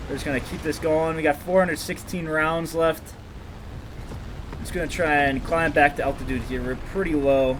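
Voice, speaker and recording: A man's fairly high, mumbling, monotone voice with flat intonation over noticeable background noise. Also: moderate pace. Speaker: gaming commentator. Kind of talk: gameplay commentary. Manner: stuttering.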